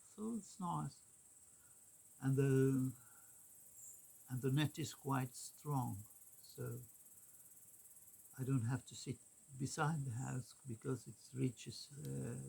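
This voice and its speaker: Someone with a Swedish accent speaks at a very slow pace with long, frequent pauses. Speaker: vlogger. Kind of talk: casual vlog monologue. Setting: in a car. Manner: halting, many fillers.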